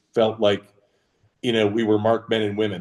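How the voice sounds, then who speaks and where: A man speaks at a fairly low pitch. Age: 60s. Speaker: retired business executive. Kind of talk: casual interview chat. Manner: frequent fillers, um and uh.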